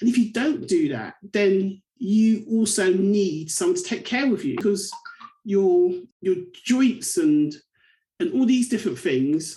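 Speaking with a southern English accent, a woman uses a medium pitch that swings very widely. Her voice is somewhat breathy and her pace fairly slow. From England, Bedford. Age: 40s. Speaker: community advocate. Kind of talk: interview.

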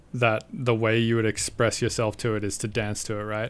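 Speaking fairly quickly, the man keeps his voice at a medium pitch. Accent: Australian. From Australia. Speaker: electronic musician. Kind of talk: casual interview chat. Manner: halting, many fillers.

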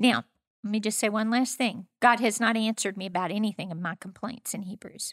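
A woman speaks in a plain, everyday voice at a fairly high pitch and fairly quick pace, with fairly even intonation but big swings in loudness. The recording is very clean with a silent background, and the sound is dry and close with no echo. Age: 60s. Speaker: pastor. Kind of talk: casual interview conversation.

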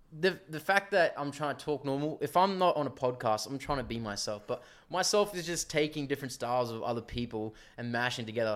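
A man's fairly high voice with an Australian accent, lively intonation and a fairly quick pace. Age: 20s. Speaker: tradesman. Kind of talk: casual chat.

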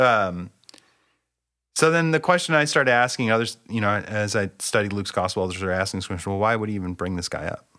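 A man with a West Coast US accent, fairly low pitch and lively intonation, speaking very fast on a very clean recording with a silent background. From US Pacific Northwest (Bellingham, Washington). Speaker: seminary professor. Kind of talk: casual theological conversation.

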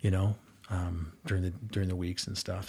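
Recorded very cleanly against a silent background, a man talks at a moderate pace in a somewhat breathy voice. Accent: American. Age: 40s. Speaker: youth basketball coach. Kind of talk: casual chat.

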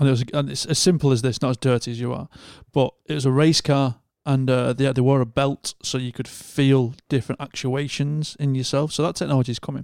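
A man with a northern English accent talks fairly quickly in a flat monotone at medium pitch, on a very clean, dry, close recording with no echo and a silent background. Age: 30s. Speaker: podcast host. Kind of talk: casual chat.

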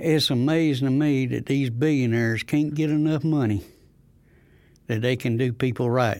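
In a Southern US accent, a man keeps his loudness very even on a very clean recording with a silent background. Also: medium pitch for a man, fairly even intonation, moderate pace. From North Carolina, near Goldsboro. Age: 70s. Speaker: community activist. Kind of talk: testimony.

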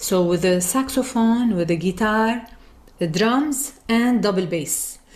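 Somewhat breathy and fairly high in pitch, a woman speaks at a very slow pace with lively intonation and very even loudness. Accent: Arabic. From Lebanon. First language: Arabic. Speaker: singer and music teacher. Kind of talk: interview.

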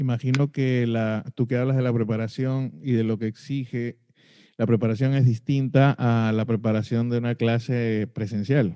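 This man speaks at a moderate pace in a medium pitch, his dark, mellow tone carried by fairly even intonation. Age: middle-aged. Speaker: podcast host. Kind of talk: interview.

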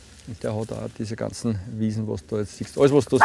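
A man at a moderate pace with ordinary pitch variation and noticeable background noise. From Lower Austria, Puchberg am Schneeberg. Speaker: team-building trainer and social pedagogue. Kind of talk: casual interview. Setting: outdoors.

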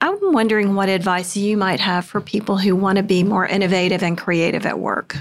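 A woman's medium-pitched, monotone, flat delivery at a fairly quick pace, very even in loudness, with noticeable background noise. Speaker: podcast host, university staff. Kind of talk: interview.

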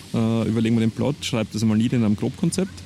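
His words come out at a very fast pace. The man's voice sits at a medium pitch, with fairly even intonation. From Lower Austria, Perchtoldsdorf south of Vienna. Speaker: crime novelist. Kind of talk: casual interview chat.

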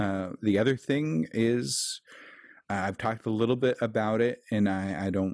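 A man with an American accent speaks at a moderate pace in a normal speaking voice, his pitch fairly low with ordinary variation. The recording is very clean, with a silent background. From Kansas City, US Midwest. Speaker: tech support worker and keto podcast host. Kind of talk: casual interview.

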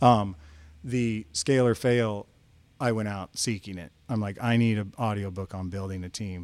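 A man with an unremarkable speaking voice talks at a moderate pace, fairly low in pitch and with fairly even intonation. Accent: American. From northeast Kansas, US Midwest. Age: 50s. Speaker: drone business owner. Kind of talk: casual chat.

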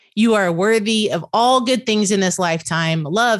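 With a Southern US accent, a woman talks at a fairly slow pace, her intonation lively. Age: 50s. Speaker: podcast host. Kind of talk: casual interview chat.

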